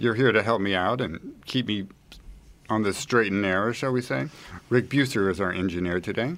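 The recording is very clean with a silent background, carrying a man's voice at a fairly low pitch and a moderate pace. It is a plain, everyday voice with ordinary pitch variation. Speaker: podcast host. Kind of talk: interview.

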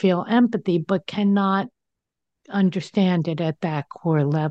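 A woman with an American accent and a plain, everyday voice, medium in pitch and fairly slow, on a dry, close recording with no echo and a quiet background. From New Jersey. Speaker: radio talk show host. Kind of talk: casual interview chat.

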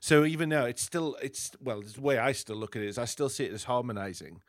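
Spoken with an English accent at a fairly quick pace, the voice shows ordinary pitch variation on a very clean recording with a silent background. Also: man. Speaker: podcast host. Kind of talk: interview.

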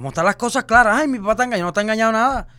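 Raised and projected, a man's high, bright, sharp voice carries an animated tone and lively intonation in a very clean recording with a silent background. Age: 30s. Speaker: social media personality. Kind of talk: casual chat.

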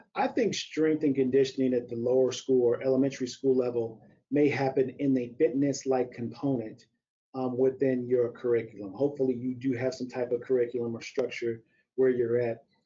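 With an American accent, a man speaks at a fairly quick pace and medium pitch in a monotone, flat intonation. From US Midwest, St. Louis, Missouri. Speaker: strength and conditioning coach. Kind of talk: interview about teaching. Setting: live webcast.

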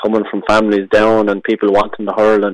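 In an Irish accent, a man talks at a very fast pace and a medium pitch, in a dry, close sound with no echo. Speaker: hurler. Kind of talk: radio interview. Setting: phone call.

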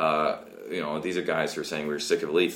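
A man with a Canadian accent is heard with audible room echo and noticeable background noise. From West Coast of Canada. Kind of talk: interview.

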